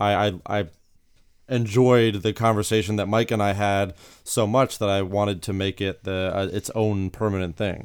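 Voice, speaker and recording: A man speaks at a moderate pace in a fairly low pitch with fairly even intonation, using a plain, everyday voice, on a very clean recording with a silent background. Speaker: therapist and podcast host. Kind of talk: casual interview.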